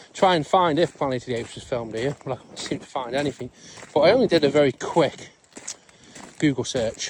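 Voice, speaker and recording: Over noticeable background noise, a man with a fairly high voice talks at a fairly quick pace, his loudness swinging widely and his pitch varying in an ordinary way, with long, frequent pauses. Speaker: van life vlogger. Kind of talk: casual vlog narration. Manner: quiet, keeping voice down.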